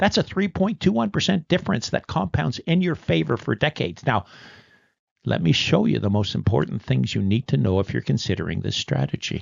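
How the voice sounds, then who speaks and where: At a fairly quick pace, a man speaks with vocal fry and very wide pitch swings. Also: fairly low pitch for a man. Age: 70s. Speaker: retired insurance industry veteran. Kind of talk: scripted explainer.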